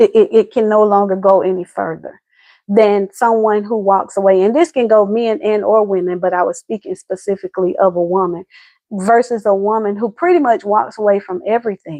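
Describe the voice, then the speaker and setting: In an American accent, a woman talks at a fairly quick pace with a dark, mellow tone. The sound is dry and close with no echo, and the background is quiet. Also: medium pitch for a woman, ordinary pitch variation. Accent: Southern US accent noted by viewer. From US South, Atlanta, Georgia. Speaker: relationship advice host. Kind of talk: casual livestream chat. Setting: live video stream.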